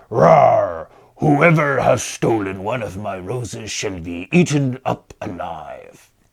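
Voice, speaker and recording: A bellowing, put-on character voice from a man at medium pitch and a fairly slow pace. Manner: fierce, roaring, menacing.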